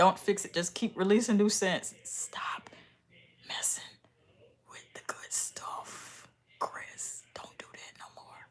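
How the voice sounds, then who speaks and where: A woman whispering very slowly, with long, frequent pauses and big swings in loudness. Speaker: beauty and hygiene YouTuber. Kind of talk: casual vlog tutorial. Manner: animated.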